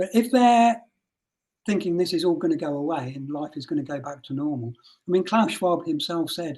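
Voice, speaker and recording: With a Birmingham accent, a man talks fairly quickly and with lively intonation. His voice is high in pitch yet dark and mellow in tone. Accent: Birmingham twang. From English Midlands (Rugby). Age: 60s. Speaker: mental health nurse. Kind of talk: interview.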